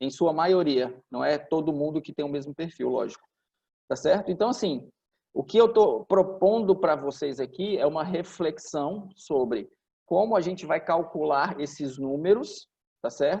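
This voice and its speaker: At a fairly slow pace, a man speaks with a dark, mellow tone, a fairly high pitch and ordinary pitch variation. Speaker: franchise business executive. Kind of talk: informal business talk to franchisees.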